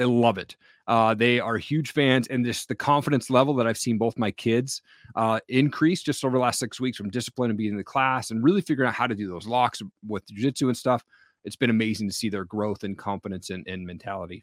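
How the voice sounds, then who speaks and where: The recording is very clean, with a silent background and a dry, close sound with no echo. A man speaks at a very fast pace in a medium pitch. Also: ordinary pitch variation. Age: 40s. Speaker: podcast host and entrepreneur. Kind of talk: interview.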